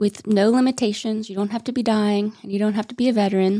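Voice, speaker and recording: A woman's fairly high voice carries a dark, mellow tone and fairly even intonation. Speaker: lawyer. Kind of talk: interview.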